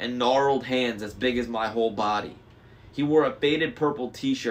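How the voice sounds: This is a natural reading voice. It sounds like text read naturally.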